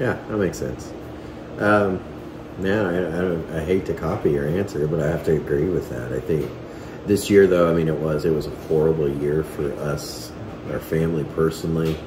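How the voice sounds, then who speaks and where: Audible room echo and noticeable background noise are both present in the recording. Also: man, very deep, low pitch for a man, ordinary pitch variation, moderate pace. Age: 30s. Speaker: family vlogger. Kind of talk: casual chat. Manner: halting.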